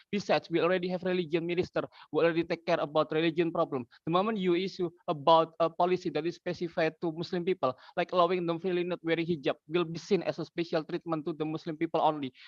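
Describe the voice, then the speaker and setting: At a very fast pace, a man speaks with a high pitch and monotone, flat intonation. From Indonesia. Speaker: student debater. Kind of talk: competitive debate speech. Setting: debate competition. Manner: halting.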